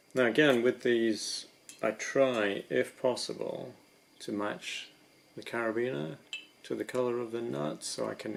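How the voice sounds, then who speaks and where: A man talks at a fairly slow pace with big swings in loudness. Noticeable background noise runs underneath. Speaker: rock climber. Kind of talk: ASMR gear description. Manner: soft-spoken.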